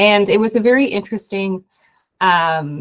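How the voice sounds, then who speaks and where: A somewhat breathy woman speaks in a dry, close recording with no echo. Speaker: impact investor. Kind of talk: webinar panel talk. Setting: video call. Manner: halting, many fillers.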